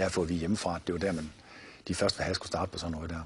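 Over light background noise, a man talks at a very fast pace in a very deep, low, somewhat breathy voice with monotone, flat intonation. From Denmark, Viborg; Denmark. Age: 50s. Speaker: martial arts founder and author; martial arts teacher. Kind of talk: TV interview. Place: studio.

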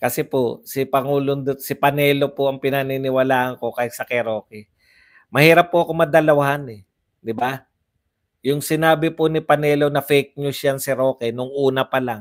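A man with an ordinary speaking voice talks at a fairly high pitch and moderate pace, with fairly even intonation over a quiet background. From Philippines. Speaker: political vlogger. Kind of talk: live-stream commentary reading comments. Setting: hotel room, live stream. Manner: casual, frequent laughter. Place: home room. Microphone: lapel.

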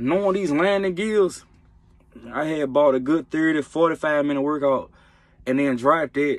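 This is a man's voice with ordinary pitch variation. The background is quiet. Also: dry sound with no echo. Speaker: truck driver vlogger. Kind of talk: casual vlog chat. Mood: joking, amused. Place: car. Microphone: phone near.

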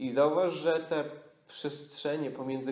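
A man with a Polish accent speaks in a calm, soothing tone, his fairly high pitch following a fairly even intonation. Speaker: yoga nidra teacher. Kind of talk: guided meditation. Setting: retreat studio with a live group. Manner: slow, calm, soothing, with long pauses; soft-spoken, hypnotic, repetitive.

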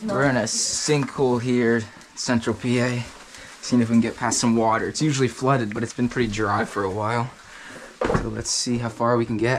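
Speech comes at a fairly quick pace. Background noise is noticeable behind it. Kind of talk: casual vlog chat. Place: tunnel cave. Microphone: phone near.

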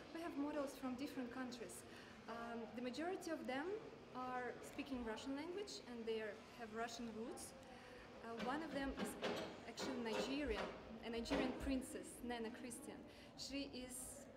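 Music plays behind a woman speaking at a moderate pace. Her pitch varies in an ordinary way, broken by long, frequent pauses. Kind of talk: interview answer. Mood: friendly, smiling. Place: hall. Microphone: lapel.

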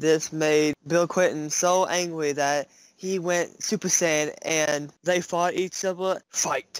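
The delivery is very slow with monotone, flat intonation. The sound is dry and close, with no echo. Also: man, high pitch for a man. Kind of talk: mock bedtime story reading, absurd shock-humor comedy sketch. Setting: pretending to read to kids from a book. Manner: deadpan, mock-soothing storyteller tone; rambling, improvised, jokey.

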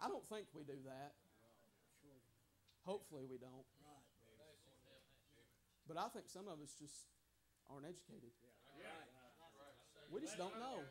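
Speaking at a moderate pace with long, frequent pauses, a man with a high-pitched voice is heard over noticeable background noise. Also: lively intonation. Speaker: preacher. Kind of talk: sermon delivered at a tent revival. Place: tent. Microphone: lapel.

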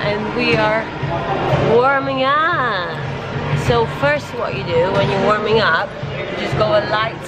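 Fairly slow speech over music in the background. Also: woman. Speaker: fitness vlogger. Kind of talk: casual vlog chat, workout tutorial. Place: gym. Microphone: phone near.

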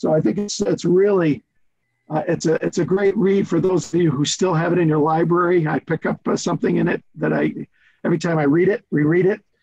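Against a quiet background, the speaker moves at a moderate pace with ordinary pitch variation. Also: man. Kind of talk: meeting remarks. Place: home room. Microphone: video call.

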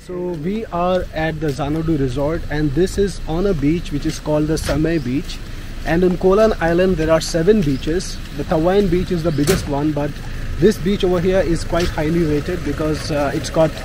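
With noticeable background noise but a dry sound with no echo, a man talks at a moderate pace with fairly even intonation. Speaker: travel vlogger. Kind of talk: casual vlog chat. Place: street. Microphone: phone near.

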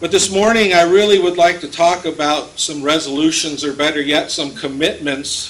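Pitch shifts an ordinary amount as the words come at a moderate speed. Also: man, high pitch for a man. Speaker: pastor. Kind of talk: sermon. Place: church. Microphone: podium.

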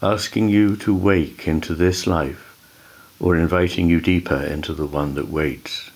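Over noticeable background noise, a man with a very deep, low pitch speaks at a fairly slow pace with fairly even intonation. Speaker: author and psychiatrist. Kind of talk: poetry reading.

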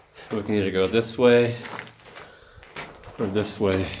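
Over noticeable background noise, a man speaks very slowly in a flat monotone at a fairly low pitch. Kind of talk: casual vlog chat. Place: tunnel cave. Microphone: phone near.

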